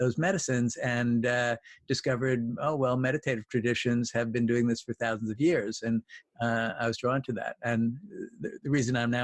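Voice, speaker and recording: A normal speaking voice comes through with a dry, close sound and no echo. The intonation is fairly even and the pace moderate. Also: man. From New York. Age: 60s. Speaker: clinical psychologist. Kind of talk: podcast interview. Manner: thoughtful, with frequent uh fillers.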